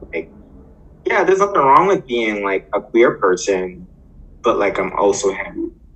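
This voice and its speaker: A man speaks at a moderate pace and medium pitch, leaving long, frequent pauses. His voice makes very wide pitch swings over noticeable background noise. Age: 30s. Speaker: podcast co-host. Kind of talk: casual chat.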